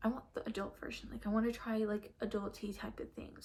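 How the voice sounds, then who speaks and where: Somewhat breathy and fairly high-pitched, a woman speaks with an American accent. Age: 20s. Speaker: lifestyle vlogger. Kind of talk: casual vlog rant. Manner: rambling with many fillers.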